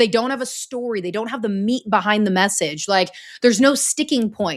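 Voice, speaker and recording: A woman with an unremarkable speaking voice talks at a fairly quick pace and a fairly high pitch, with ordinary pitch variation, in a very clean recording with a silent background. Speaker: former news anchor, story coach. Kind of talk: interview.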